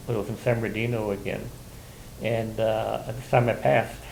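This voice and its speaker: A man's vocal fry at a moderate pace, with audible room echo. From Southern California (Colton, Inland Empire). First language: Spanish. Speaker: oral history interviewee, Navy veteran. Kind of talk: oral history interview. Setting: university library room. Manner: halting, many fillers and repetitions.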